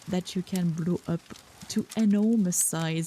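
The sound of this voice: The voice heard here is an unforced reading voice.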